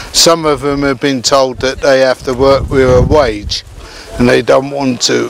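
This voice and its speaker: With fairly even intonation, a man speaks slowly-ish at a fairly high pitch amid noticeable background noise. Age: 60s. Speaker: village community resident. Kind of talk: testimony. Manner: halting.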